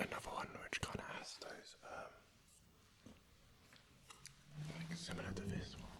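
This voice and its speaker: Whispering at a fairly slow pace with long, frequent pauses, amid noticeable background noise. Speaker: ASMR creator. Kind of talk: relaxed ASMR ramble. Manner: soft-spoken.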